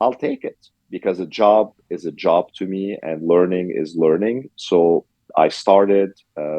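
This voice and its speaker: Speaking fairly slowly, a man with a Lebanese accent has a very deep, low voice and ordinary pitch variation. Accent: Lebanese accent, still noticeable. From Lebanon. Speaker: restaurant owner. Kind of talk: interview. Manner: frequent fillers, hesitant.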